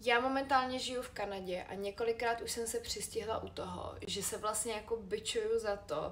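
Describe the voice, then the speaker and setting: Here a woman speaks at a moderate pace. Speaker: vlogger. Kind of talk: personal vlog monologue.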